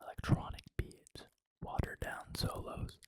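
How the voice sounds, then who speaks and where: Someone whispers at a fairly slow pace. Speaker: ASMR content creator. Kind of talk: ASMR narration of a movie script read in first person. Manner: whispered, soft, narrating.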